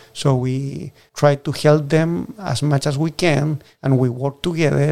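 A man speaks at a fairly slow pace with a strong Chilean accent. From southern Chile. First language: Spanish. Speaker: oyster farmer and farm manager. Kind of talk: casual interview. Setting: on location at the farm. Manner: halting.

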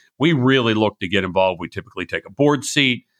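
A man's bright, sharp tone in a very clean recording with a silent background. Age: 60s. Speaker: venture capital investor. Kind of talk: interview.

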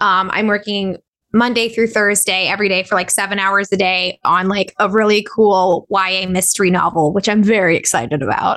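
A woman with a Californian accent speaks at a moderate pace and a medium pitch, her intonation fairly even, her loudness very even, and hardly any pauses. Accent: Californian American. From Southern California (Orange County, Inland Empire). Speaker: voice actor and musician. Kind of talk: interview.

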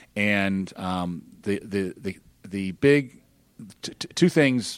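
A man with a very deep, low pitch talks in an American accent. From Alabama, US South. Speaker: startup founder. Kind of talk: casual interview. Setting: studio. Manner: repetitive stammering starts.

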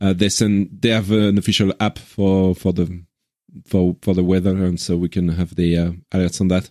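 In a French accent, a man speaks with a very deep, low pitch, monotone intonation and very even loudness at a moderate pace. The sound is dry and close, with no echo. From Switzerland. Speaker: podcast host. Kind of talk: casual chat.

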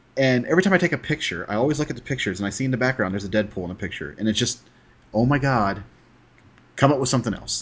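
A man with an American accent speaks at a very fast pace, somewhat breathy, with lively intonation. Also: medium pitch for a man. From Texas. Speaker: podcast host. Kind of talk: casual chat.

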